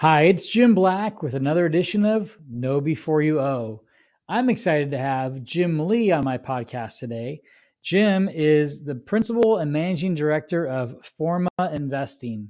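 Against a quiet background, an ordinary speaking voice carries lively intonation. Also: man, fairly high pitch for a man, moderate pace. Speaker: podcast host. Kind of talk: interview.

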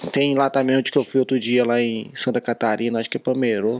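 Medium in pitch, a man talks in a plain, everyday voice with fairly even intonation. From Brazil, Minas Gerais. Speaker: car dealer and social media influencer. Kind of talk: casual chat.

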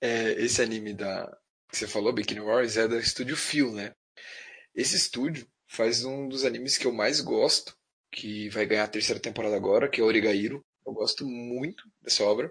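A man with an unremarkable speaking voice at medium pitch, moderate pace and fairly even intonation, over a quiet background. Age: 30s. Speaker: anime fan. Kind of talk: casual chat.

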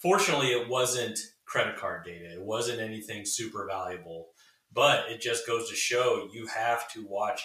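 The speaker has an ordinary speaking voice and moves at a fairly quick pace. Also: man. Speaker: cybersecurity marketing executive. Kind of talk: casual interview. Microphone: poor audio quality.

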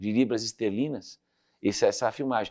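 Very fast speech with lively intonation against a quiet background. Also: man. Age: 50s. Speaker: leadership speaker and author. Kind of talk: interview.

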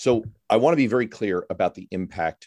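A man's plain, everyday voice at a fairly low pitch and moderate pace, with lively intonation, in a very clean recording with a silent background and a dry, close sound with no echo. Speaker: radio host. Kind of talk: political roundtable discussion.

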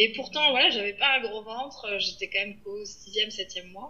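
This is a woman talking. She keeps a moderate pace. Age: 30s. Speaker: podcast guest, mother. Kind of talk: casual interview. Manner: hesitant, many fillers.

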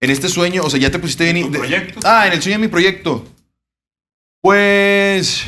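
With a Mexican accent, a man speaks at a moderate pace in a high pitch, his tone bright and sharp and his pitch variation ordinary. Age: 20s. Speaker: grilling YouTuber. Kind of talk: casual chat.

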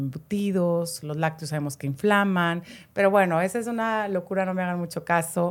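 In a Mexican accent, a woman talks at a fairly low pitch with ordinary pitch variation. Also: very clean recording, silent background. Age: 50s. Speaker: natural products shop owner. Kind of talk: casual chat.

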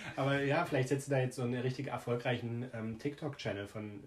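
This man talks at a fairly quick pace in a medium pitch. His voice is somewhat breathy. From Germany, village near Jena (Thuringia). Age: 20s. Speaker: podcast co-host. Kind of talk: casual chat.

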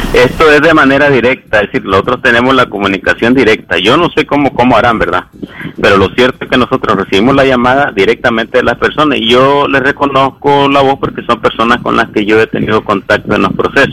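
Over noticeable background noise, a man talks at a very fast pace with hardly any pauses, very even loudness, a medium pitch and ordinary pitch variation. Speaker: human rights lawyer. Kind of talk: expert interview.

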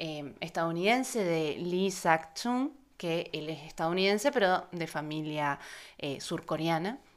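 A woman with an Argentine accent speaks at a fairly slow pace in a fairly low pitch, her intonation lively. The recording is very clean, with a silent background. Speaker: film journalist, podcast co-host. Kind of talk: casual chat.

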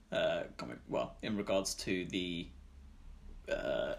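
This is a man speaking with a British accent. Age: 20s.

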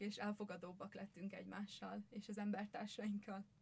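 Somewhat breathy, a woman speaks at a moderate pace in a medium pitch. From Győr, Hungary. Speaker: social pedagogy student. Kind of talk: podcast interview.

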